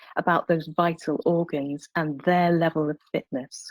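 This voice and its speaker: A woman speaks in a plain, everyday voice, pitched fairly low, at a moderate pace. The sound is dry and close, with no echo. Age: 60s. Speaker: palliative care doctor. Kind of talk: webinar presentation.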